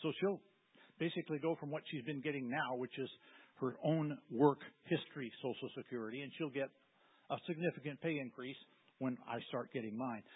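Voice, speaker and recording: A normal speaking voice from a man, fairly high in pitch, at a fairly quick pace with ordinary pitch variation. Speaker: military retiree. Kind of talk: testimony. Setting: church.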